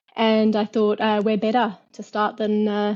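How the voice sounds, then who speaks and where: A woman with an Australian accent and a fairly high pitch speaks at a moderate pace. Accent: Australian, clearly audible. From Australia, Perth. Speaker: fintech entrepreneur. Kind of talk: interview. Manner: hesitant, many fillers.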